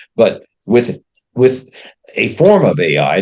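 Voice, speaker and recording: The voice belongs to a man with a medium pitch. Vocal fry runs through his speech. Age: 80s+. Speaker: retired engineer and author. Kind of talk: interview. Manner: halting.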